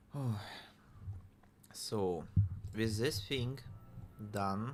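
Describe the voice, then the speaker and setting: With audible room echo, a man speaks in a Russian accent and ordinary pitch variation. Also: medium pitch for a man. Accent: Russian accent, noticeable. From Russia (Siberia). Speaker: indie game developer streamer. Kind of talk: casual live-stream chat while coding. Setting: live stream. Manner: slow; halting, repeats words. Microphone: new microphone with audio interface.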